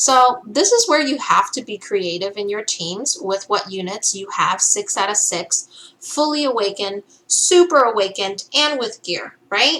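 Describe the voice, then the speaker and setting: A woman speaks at a fairly high pitch with hardly any pauses. Her pitch swings very widely. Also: fairly slow pace. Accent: non-native. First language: not English. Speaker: gaming content creator. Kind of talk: game tutorial. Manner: casual, many filler ums.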